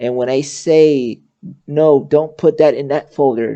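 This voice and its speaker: Fairly slow speech comes through at a quiet level. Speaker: VR avatar tutorial creator. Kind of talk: tutorial. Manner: halting.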